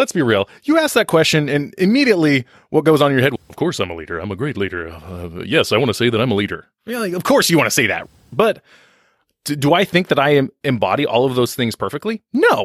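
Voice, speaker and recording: Very fast and fairly high-pitched, a man swings his pitch very widely and uses vocal fry, heard in a dry, close sound with no echo on a very clean recording with a silent background. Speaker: financial advisor. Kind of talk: interview conversation.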